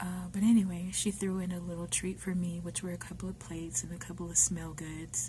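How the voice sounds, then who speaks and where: With noticeable background noise, a woman talks at a fairly quick pace in an American accent. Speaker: ASMR video maker. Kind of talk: casual talk to camera. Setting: workplace, quiet.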